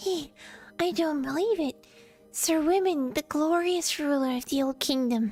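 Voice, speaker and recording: A woman puts on a squeaky character voice at a high pitch. She talks at a moderate pace with faint music in the background. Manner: astonished, disbelieving.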